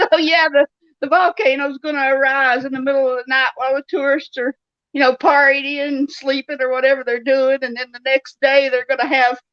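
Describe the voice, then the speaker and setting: In a raised, projected voice, a woman speaks at a high pitch and moderate pace with a bright, sharp tone, the sound dry and close with no echo. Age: 60s. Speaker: novelist. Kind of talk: interview.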